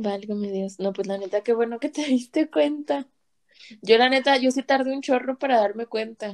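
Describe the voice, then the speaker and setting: Her pace is moderate and her pitch varies in an ordinary way. The audio is dry and close, without any echo. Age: 20s. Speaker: guest. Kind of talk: casual chat.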